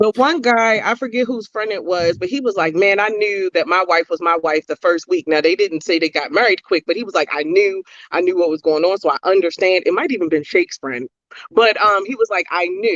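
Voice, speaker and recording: The speaker talks at a fairly quick pace with a Baltimore accent. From Baltimore, US. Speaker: podcast co-host. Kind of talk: casual chat.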